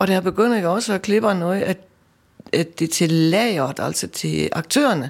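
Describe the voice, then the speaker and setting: Marked by vocal fry, the voice moves at a fairly slow pace with lively intonation. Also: woman. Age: 60s. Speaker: volunteer costume maker. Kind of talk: casual interview.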